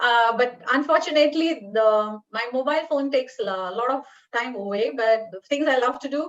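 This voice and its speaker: A woman speaks with an Indian accent at a moderate pace. Her pitch is high and her intonation lively. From northern India. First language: Telugu/Hindi (not English). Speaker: paediatric dentistry professor. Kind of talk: interview.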